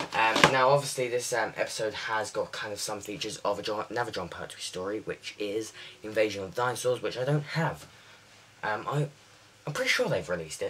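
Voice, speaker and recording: At a fairly quick pace, a man with a British accent speaks at a medium pitch with ordinary variation amid noticeable background noise. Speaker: TV show reviewer. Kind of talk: casual video review. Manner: fast; halting, many fillers.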